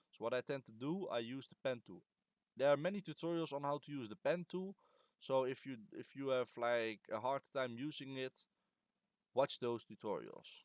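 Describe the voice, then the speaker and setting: A man's medium-pitched voice at a moderate pace, with ordinary pitch variation, big swings in loudness and a dry, close sound with no echo. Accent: non-native. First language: not English. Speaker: game modder. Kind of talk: tutorial. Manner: halting; casual.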